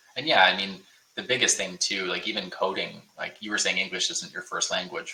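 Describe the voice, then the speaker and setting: Noticeable background noise sits behind a speaker with a Canadian accent who talks at a fairly quick pace. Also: man. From Ontario, Canada (Niagara Falls). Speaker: bootcamp info session host. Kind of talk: live webinar Q&A. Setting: online livestream. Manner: casual, filler-heavy.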